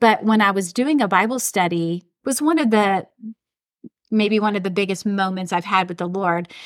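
With a plain, everyday voice, a woman speaks at a medium pitch and a moderate pace, her pitch varying in an ordinary way. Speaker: podcast host. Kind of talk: casual faith conversation.

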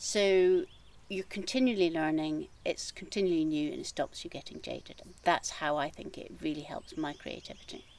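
At a moderate pace, a woman talks with big swings in loudness. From Scotland, east coast near Edinburgh. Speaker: gardener and creative coach. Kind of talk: casual interview chat. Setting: outdoors in her garden.

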